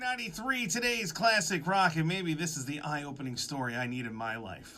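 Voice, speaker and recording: Against audible room echo, a man speaks with a bright, sharp tone. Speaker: radio host. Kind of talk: radio show banter. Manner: fast.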